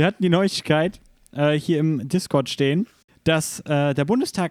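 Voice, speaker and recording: This man has a fairly high pitch and lively intonation. He speaks at a fairly slow pace. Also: dry, close sound with no echo. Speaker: gaming podcast host. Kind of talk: casual chat. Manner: news-anchor-like when reading aloud.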